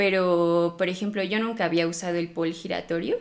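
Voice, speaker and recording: With an ordinary speaking voice, a woman talks at a fairly slow pace in a fairly low pitch. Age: 20s. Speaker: pole dance instructor and studio owner. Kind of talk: casual interview.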